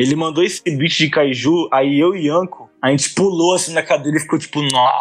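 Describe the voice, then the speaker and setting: A man with a fairly high voice talks at a medium tempo, his pitch varying in an ordinary way. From Brazil, Manaus (Amazonas), born in Salvador. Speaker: rapper and beatmaker. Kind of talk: interview. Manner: casual slang-heavy, halting repetitions.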